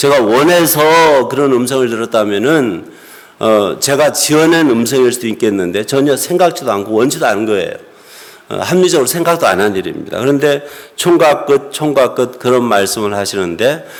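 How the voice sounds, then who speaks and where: Noticeable background noise and audible room echo surround a man's voice. He has a medium pitch and lively intonation and keeps a moderate pace. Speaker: pastor. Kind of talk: sermon.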